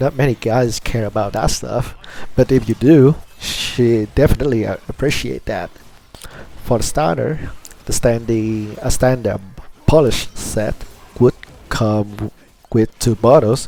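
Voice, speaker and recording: A man speaks fairly slowly, with long, frequent pauses and ordinary pitch variation. Background noise is noticeable throughout. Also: medium pitch for a man. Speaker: former nail salon technician. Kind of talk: casual talk to camera. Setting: low-quality home microphone.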